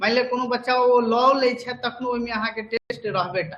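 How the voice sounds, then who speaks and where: A man in a Bihar accent, his raised, projected voice at an extremely high pitch. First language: Maithili (speaking Hindi). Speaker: teacher. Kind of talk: lecture. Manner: repetitive, conversational.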